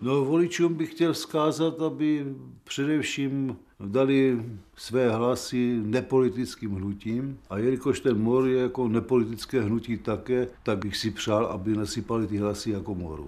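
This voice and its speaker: A man talks at a moderate pace in a medium pitch. His tone is dark and mellow, with ordinary pitch variation. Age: 70s. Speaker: election candidate. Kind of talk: campaign interview.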